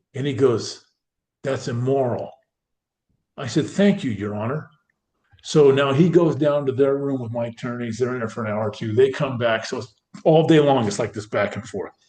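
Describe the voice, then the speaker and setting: Speaking at a moderate pace with long, frequent pauses, a man uses a medium pitch and lively intonation, his somewhat breathy voice dark and mellow in tone, with big swings in loudness. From Northern California. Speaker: former pro football player. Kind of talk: interview storytelling. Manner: animated.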